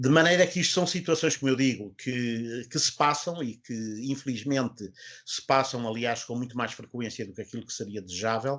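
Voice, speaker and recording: Against a quiet background, a man talks at a moderate pace in a medium pitch with ordinary pitch variation. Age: 60s. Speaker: orthopedic surgeon. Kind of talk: health talk show interview. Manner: hesitant, many fillers.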